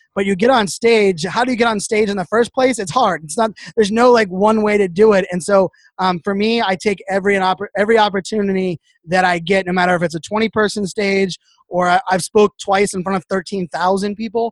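Fairly quick and with fairly even intonation, a man speaks in a high pitch, the sound dry and close with no echo. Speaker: social media influencer and keynote speaker. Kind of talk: casual podcast interview. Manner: fast talker.

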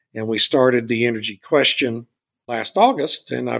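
An unremarkable speaking voice in an American accent, with ordinary pitch variation, a moderate pace, and a dry, close sound with no echo. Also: man. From South Texas (Beeville). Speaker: energy consultant and podcast host. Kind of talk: interview. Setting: podcast interview.

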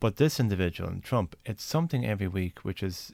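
A man's fairly low voice in an Irish accent, with lively intonation. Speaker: senator and podcast host. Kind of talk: casual conversational interview.

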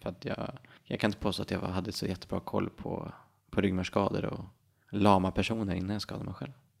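An ordinary speaking voice at a fairly quick pace. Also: man. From Sweden, Härnösand, Ångermanland. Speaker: city planner and spinal cord injury survivor. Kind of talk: interview conversation.

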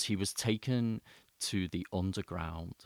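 In a very clean recording with a silent background, a man speaks very slowly at a fairly low pitch, the sound dry and close with no echo. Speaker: podcast host, eco-therapist. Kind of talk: solo podcast monologue. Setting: home studio with microphone. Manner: informal, rambling, hesitant with fillers.

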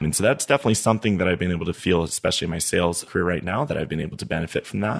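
A man with a very deep, low voice talks at a very fast pace with lively intonation and hardly any pauses. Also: very clean recording, silent background. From Niger. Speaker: oil and gas sales engineer. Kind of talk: casual chat.

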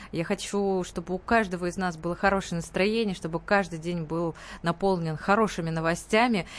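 A woman with a plain, everyday voice speaks at a moderate pace with a fairly low pitch and fairly even intonation. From Tatarstan, Russia (Nizhnekamsk). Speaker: pop and opera singer. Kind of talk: radio interview. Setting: radio studio.

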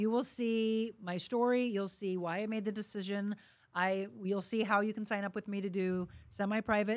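Very clean recording with a silent background, of a woman at a medium pitch and a moderate pace with monotone, flat intonation. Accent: American. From St. Louis, Missouri (Florissant). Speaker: TV and radio host, fitness trainer. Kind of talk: interview. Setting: studio.

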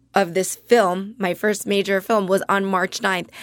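A woman speaks at a moderate pace and medium pitch in a flat monotone, recorded with a dry, close sound and no echo. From New Jersey, Jersey Shore. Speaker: actress and comedian. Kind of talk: casual chat.

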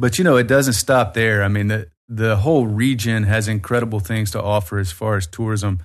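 A man with an American accent, fairly low-pitched and fairly quick, with ordinary pitch variation, hardly any pauses and a quiet background. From Birmingham, Alabama, US South. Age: 40s. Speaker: tour company owner. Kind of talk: casual interview chat.

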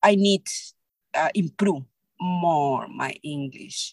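Speaking at a very slow pace with a Spanish accent, a woman with a fairly low pitch and ordinary pitch variation comes through in a dry, close sound with no echo. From Peru. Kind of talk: interview. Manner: halting.

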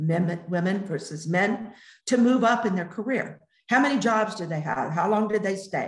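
Speaking at a moderate pace with an American accent, a woman uses a medium pitch and ordinary pitch variation. Her voice is somewhat breathy, and the room echo is audible. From United States. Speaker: entrepreneur. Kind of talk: interview. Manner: halting.

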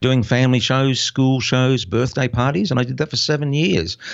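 Medium in pitch with ordinary variation, a man talks in a plain, everyday voice. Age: 50s. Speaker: former army sniper and cameraman turned children's magician and online entrepreneur. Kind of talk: interview.

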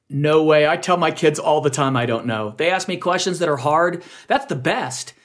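A man speaks with a normal speaking voice, pitched fairly high, and his pitch varies in an ordinary way. The background is quiet. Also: moderate pace. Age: 50s. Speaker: parenting podcast host and speaker. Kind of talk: interview. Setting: radio show.

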